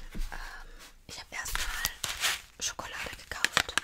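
Her voice comes as a whisper. Behind it, background noise is noticeable. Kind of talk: ASMR video, casual talk to camera. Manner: soft, calming, whispering.

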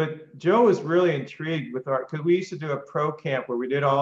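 A man talks at a very fast pace over a quiet background, with audible room echo around his voice. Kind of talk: live Q&A on a video call. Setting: video call. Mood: enthusiastic, conversational. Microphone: video call.

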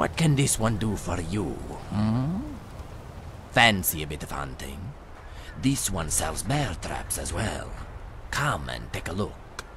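Amid clear background noise, a man in a put-on character voice with a very deep, low pitch speaks at a fairly slow pace with long, frequent pauses. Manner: smooth, salesman's patter, speaks of self as this one.

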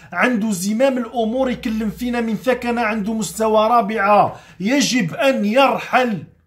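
A man speaks at a fairly slow pace in a high voice with ordinary pitch variation over a quiet background. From Algeria. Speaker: chef and political commentator; political commentator. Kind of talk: motivational vlog monologue. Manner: animated. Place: home room.

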